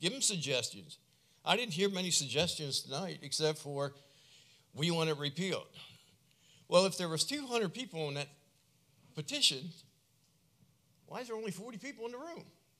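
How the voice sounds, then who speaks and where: A man's high, bright, sharp voice at a fairly quick pace, with very wide pitch swings, big swings in loudness and long, frequent pauses. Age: 60s. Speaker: public commenter at town council. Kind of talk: public comment. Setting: council meeting. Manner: animated.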